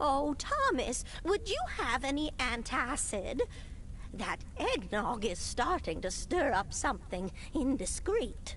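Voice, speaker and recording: With clear background noise behind her, a woman puts on a high-pitched character voice and speaks at a fairly slow pace. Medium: audio drama. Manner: rambling, off-topic.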